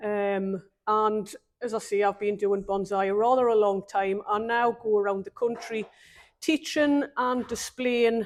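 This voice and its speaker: On a very clean recording with a silent background, a woman with a fairly high pitch speaks at a fairly slow pace with fairly even intonation. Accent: northeast English. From northeast England, Newcastle upon Tyne. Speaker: bonsai exhibitor and teacher. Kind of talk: casual interview. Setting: bonsai nursery event. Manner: hesitant, many ums.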